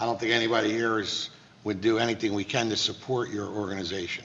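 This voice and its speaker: In an American accent, a man speaks with fairly even intonation. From US Northeast. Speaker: borough council president chairing meeting. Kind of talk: public council meeting. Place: meeting room. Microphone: podium.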